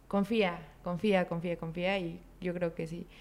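The woman's voice is fairly low in pitch. Her intonation is monotone and flat. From Mexico, Chiapas. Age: 20s. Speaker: entrepreneur and student. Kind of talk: casual interview.

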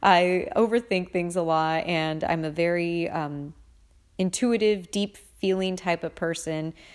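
A woman has an ordinary speaking voice, fairly low in pitch with fairly even intonation. She talks at a fairly slow pace on a very clean recording with a silent background. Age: 30s. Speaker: podcast host. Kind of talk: casual monologue.

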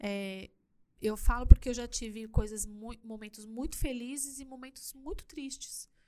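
A woman's high-pitched, dark, mellow voice with ordinary pitch variation and big swings in loudness. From Brazil, São Paulo city (Perus). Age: 40s. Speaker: church youth leader and influencer. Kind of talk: casual interview chat. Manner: animated, laughs often.

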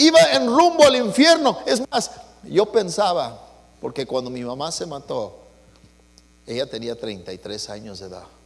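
Amid noticeable background noise, a man with a warm tone talks at a moderate pace, with long, frequent pauses and big swings in loudness. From US West, East Los Angeles. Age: 60s. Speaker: pastor. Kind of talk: bilingual Sunday sermon, personal testimony switching English and Spanish line by line. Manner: warm, conversational code-switching with chuckles; fervent, rising preacher cadence with stuttered repeats.

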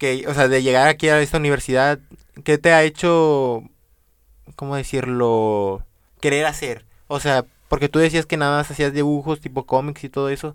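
Over a very clean recording with a silent background, a man with an unremarkable speaking voice talks at a moderate pace, fairly high in pitch with fairly even intonation. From Venezuela. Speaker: podcast host. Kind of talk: interview.

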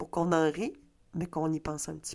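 A woman talks with a Quebec accent in an animated tone. The recording is very clean, with a silent background. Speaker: comedian. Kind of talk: solo comedy podcast monologue. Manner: halting.

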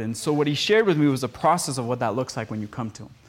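Speaking with a Spanish accent, a man talks at a very fast pace. His pitch is medium and his intonation lively. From Costa Rica. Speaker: podcast producer and speaker. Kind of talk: teaching message with casual banter.

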